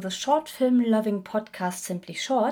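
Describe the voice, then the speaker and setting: Speaking in a German accent, a woman has a dark, mellow tone and a fairly high pitch. She talks at a fairly slow pace with ordinary pitch variation. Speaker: podcast host. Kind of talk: interview.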